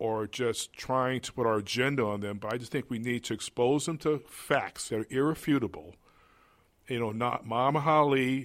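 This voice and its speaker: A man speaks in an ordinary speaking voice at medium pitch with ordinary pitch variation, on a very clean recording with a silent background. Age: 60s. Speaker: museum executive director. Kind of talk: interview.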